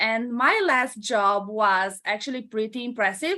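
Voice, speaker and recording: Very slow speech from a woman with a Romanian accent and a fairly high pitch. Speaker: entrepreneur. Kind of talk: interview. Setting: live stream.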